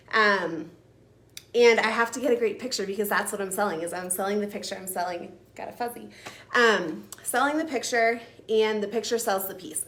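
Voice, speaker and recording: A woman talks at a fairly quick pace in a medium pitch, with ordinary pitch variation and an animated tone. Her loudness swings widely, and room echo is audible. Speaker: furniture painter and realtor. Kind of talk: live-streamed tutorial. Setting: live video stream. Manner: fast.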